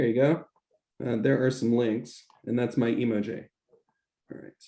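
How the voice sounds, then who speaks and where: A man with an American accent speaks at medium pitch and a moderate pace, his tone dark and mellow. His intonation is monotone and flat, while his loudness swings widely. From United States. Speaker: English teacher and researcher. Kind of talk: conference talk Q&A. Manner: hesitant, many fillers.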